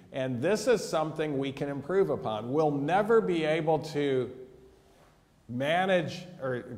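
In an American accent, the speaker uses lively intonation. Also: man. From USA. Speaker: physician and mental health educator. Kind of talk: lecture. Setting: church hall with audience. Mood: earnest, concerned. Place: hall.

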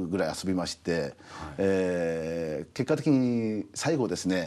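A man's dark, mellow tone carries lively intonation. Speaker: restaurant company CEO; guest. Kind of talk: TV interview. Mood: friendly, smiling. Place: studio. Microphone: lapel.

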